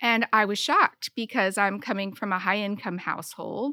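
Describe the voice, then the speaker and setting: A woman speaks at a medium pitch in a bright, sharp tone. The very clean recording has a silent background and a dry, close sound with no echo. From Michigan, rural farm town. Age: 50s. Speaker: podcast guest. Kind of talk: casual chat.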